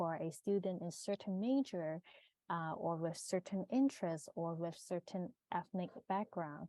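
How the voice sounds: A woman's fairly low, dark, mellow voice at a moderate pace, fairly even in intonation, with a dry, close sound and no echo.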